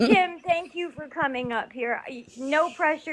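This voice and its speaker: At a moderate pace, a woman speaks, her pitch varying in an ordinary way. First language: not English. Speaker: live stream host. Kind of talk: casual group chat.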